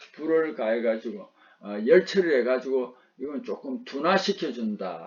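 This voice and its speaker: Speaking with a Gyeongsang accent, a man uses medium pitch and very wide pitch swings at a moderate pace. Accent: Gyeongsang dialect, noticeable. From Gyeongsang region, South Korea. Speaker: vocational instructor. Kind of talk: lecture.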